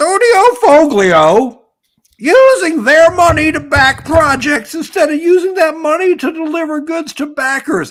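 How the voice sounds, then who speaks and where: Shouting in a put-on character voice, a man speaks at a fairly slow pace with extremely high pitch. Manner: yelling, indignant.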